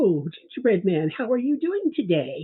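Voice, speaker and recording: This is a put-on character voice set at a fairly high pitch. Its pitch swings very widely. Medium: read story. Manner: smooth, coaxing.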